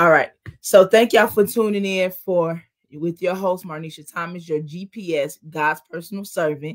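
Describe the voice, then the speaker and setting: In a very clean recording with a silent background, a woman with a plain, everyday voice speaks at a fairly slow pace, fairly low in pitch and fairly even in intonation. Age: 40s. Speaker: talk show host. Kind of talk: casual chat.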